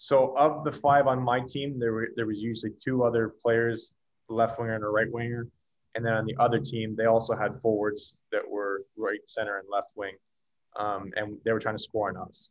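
At a moderate pace, a man with a slight Canadian accent speaks in a medium pitch with fairly even intonation. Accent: Canadian, slight after years in US. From Canada. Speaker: former pro hockey player. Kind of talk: casual interview.

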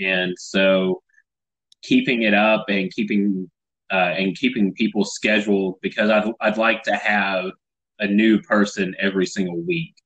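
Speaking with an American accent, a man keeps a fairly low pitch, a fairly slow pace, fairly even intonation and very even loudness. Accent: Southern US, noticed by Californians. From Tennessee. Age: 30s. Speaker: podcast host, comedian. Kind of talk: casual chat.

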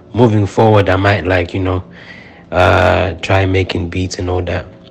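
A man speaks at a moderate pace with a very deep, low pitch and monotone, flat intonation. Noticeable background noise runs underneath. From Zimbabwe. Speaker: rapper. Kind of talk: casual interview chat.

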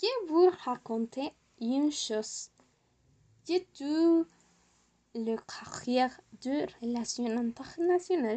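At a very slow pace, a woman with a high pitch and a dark, mellow tone talks with long, frequent pauses. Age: 20s. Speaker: student vlogger. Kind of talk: personal talk for French class. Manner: halting.

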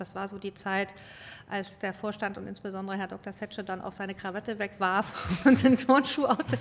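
A woman's medium-pitched voice at a moderate pace. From grew up abroad, diplomat's child. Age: 40s. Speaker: car company executive. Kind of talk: interview. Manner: halting.

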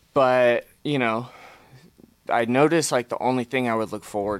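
Vocal fry runs through this man's voice on a very clean recording with a silent background. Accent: American. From Fresno, California. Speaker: person in recovery from addiction. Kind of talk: casual interview sharing personal story.

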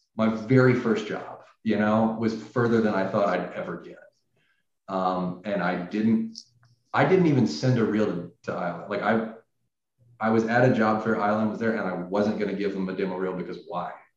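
A man talks at a moderate pace with fairly low pitch and fairly even intonation. Audible room echo surrounds his voice. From US South, Tennessee. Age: 30s. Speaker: animator. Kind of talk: interview. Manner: hesitant, with many fillers.

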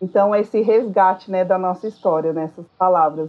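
A woman is speaking at medium pitch. Her pitch variation is ordinary. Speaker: school psychologist and teacher. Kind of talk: casual interview chat. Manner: hesitant, many fillers.

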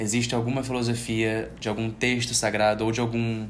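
Audible room echo surrounds a man speaking at a moderate pace and medium pitch. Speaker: podcast host and yoga teacher. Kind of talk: casual interview chat. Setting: yoga studio, Instagram live.

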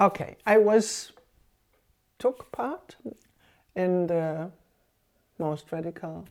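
A woman speaks in a fairly low pitch with ordinary pitch variation. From West Germany. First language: German. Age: 70s. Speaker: former militant activist and exile. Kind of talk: interview testimony. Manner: halting, many fillers.

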